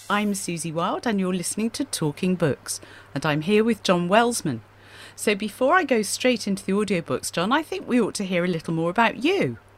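A woman speaks at a fairly quick pace in an ordinary speaking voice, her pitch medium and her intonation lively. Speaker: radio host and author. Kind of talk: radio chat about books. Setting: radio studio.

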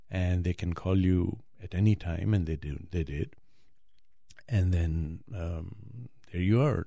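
Very slow and broken by long, frequent pauses, a man's very deep, low voice carries a dark, mellow tone, a somewhat breathy quality and ordinary pitch variation. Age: 60s. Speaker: heart transplant patient and blogger. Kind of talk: interview. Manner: halting.

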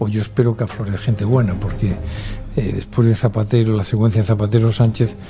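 Fairly low male voice at a very fast pace, ordinary pitch variation, noticeable background noise. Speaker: political commentator. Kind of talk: panel discussion.

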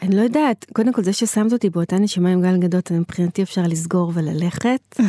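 Her tone is dark and mellow, and her loudness stays very even at a fairly quick pace. The woman's voice sounds dry and close, with no echo. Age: 40s. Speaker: activist and community organizer. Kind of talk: interview. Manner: animated.

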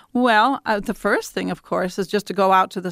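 A woman with an American accent speaks at a medium pitch on a very clean recording with a silent background and a dry, close sound with no echo. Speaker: prairie biologist. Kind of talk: radio interview. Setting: studio. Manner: halting.

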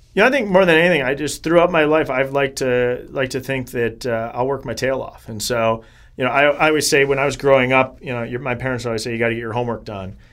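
In a Wisconsin accent, a man talks at a very fast pace with hardly any pauses. His medium pitch has ordinary variation, and the recording is very clean with a silent background. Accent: Upper Midwest (Wisconsin). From Wisconsin, Janesville. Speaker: congressional candidate, attorney. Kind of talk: interview.

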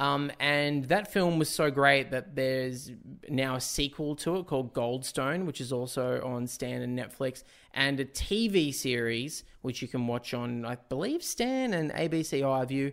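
This man speaks at a fairly slow pace with an Australian accent. His pitch is fairly high, with ordinary pitch variation. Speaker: film podcast host. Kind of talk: casual chat. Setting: video call.

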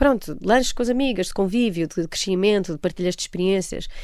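This woman's voice sits at a medium pitch. Its pitch varies in an ordinary way. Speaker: actress and voice narrator. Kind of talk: interview. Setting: radio studio. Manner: hesitant, many fillers.

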